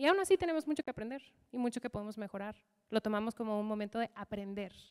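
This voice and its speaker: Against a quiet background, a woman speaks at a fairly quick pace with an animated tone and lively intonation. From US, Michigan. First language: English (speaking Spanish). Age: 30s. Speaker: leadership coach; keynote speaker. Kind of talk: motivational talk. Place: hall. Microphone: handheld.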